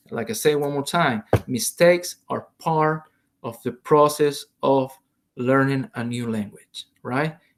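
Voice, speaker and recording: A man with a Salvadoran accent, fairly high pitch, ordinary pitch variation, and a very slow pace. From El Salvador. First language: Spanish. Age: 40s. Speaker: Spanish teacher. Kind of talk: online lesson. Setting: recorded video lesson. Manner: hesitant, many fillers.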